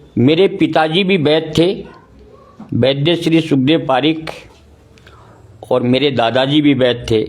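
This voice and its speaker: The voice holds a very even loudness, broken by long, frequent pauses, over noticeable background noise. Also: man, fairly high pitch for a man, ordinary pitch variation. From Rajasthan, India. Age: 60s. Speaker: ayurvedic doctor. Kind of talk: interview.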